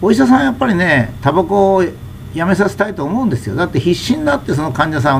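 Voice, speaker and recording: A man's high-pitched voice with very wide pitch swings at a very fast pace, over noticeable background noise. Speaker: commentator on health and society. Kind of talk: monologue talk.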